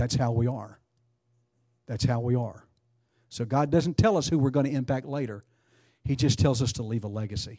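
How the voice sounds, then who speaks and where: Against a quiet background, a man with a medium-pitched, dark, mellow and somewhat breathy voice speaks at a moderate pace with ordinary pitch variation and long, frequent pauses. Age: 60s. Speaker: preacher. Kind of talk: sermon.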